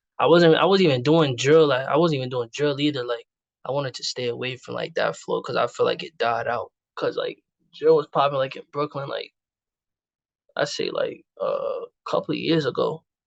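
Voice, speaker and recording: A man speaks at a moderate pace, his voice dry and close with no echo. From New York City, Queens. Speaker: rapper. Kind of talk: casual interview chat. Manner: casual, filler-heavy.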